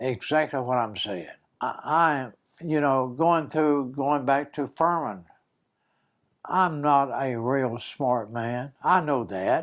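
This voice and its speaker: A man with a South Carolina accent speaks at a very slow pace on a very clean recording with a silent background. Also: fairly high pitch for a man, ordinary pitch variation. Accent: Southern US (South Carolina). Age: 90s. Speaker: war veteran. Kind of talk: interview. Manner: halting.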